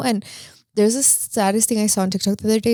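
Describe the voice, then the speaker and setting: In a Spanish accent, a woman speaks with an animated tone. The recording is very clean with a silent background. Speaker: podcast co-host. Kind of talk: casual chat.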